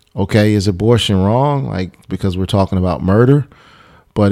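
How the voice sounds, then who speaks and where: A man with an American accent and a normal speaking voice talks at a fairly low pitch with ordinary pitch variation, on a very clean recording with a silent background. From US Midwest, Chicago suburb. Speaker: pastor. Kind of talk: casual chat. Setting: studio.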